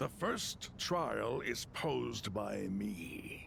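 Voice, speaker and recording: This is a put-on character voice, delivered at a very slow pace. Background noise is clearly heard. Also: man. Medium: video game. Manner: blunt, casual.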